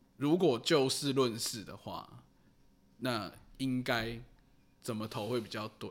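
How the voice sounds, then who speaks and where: Speaking very slowly with long, frequent pauses, a man at medium pitch shows ordinary pitch variation and big swings in loudness. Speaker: podcast co-host. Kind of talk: casual chat about referendums. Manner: casual, mumbled everyday speech.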